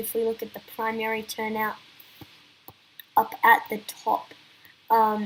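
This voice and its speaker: A woman's high voice at a fairly slow pace. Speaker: election analysis youtuber. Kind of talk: political analysis commentary. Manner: halting, with many fillers and restarts.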